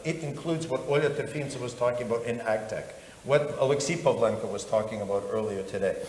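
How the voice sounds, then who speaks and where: Speech at a fairly quick pace, with noticeable background noise and audible room echo. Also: man. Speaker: government investment promotion official. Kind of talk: panel talk. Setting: stage with audience. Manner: halting, with many false starts; animated.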